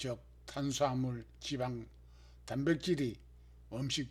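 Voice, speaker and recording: This man speaks at a very slow pace. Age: 70s. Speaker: health vlogger, stroke survivor. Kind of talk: scripted narration.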